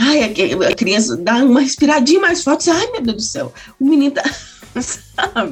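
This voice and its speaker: With lively intonation and a moderate pace, a woman speaks over noticeable background noise. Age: 40s. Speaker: pedagogue and mother. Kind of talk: interview testimony. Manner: halting, many fillers.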